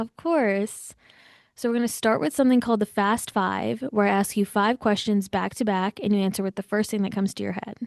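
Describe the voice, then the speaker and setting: A woman with a plain, everyday voice talks at a fairly quick pace in a medium pitch with ordinary pitch variation, the sound dry and close with no echo. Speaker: podcast host. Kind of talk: podcast intro and interview questions.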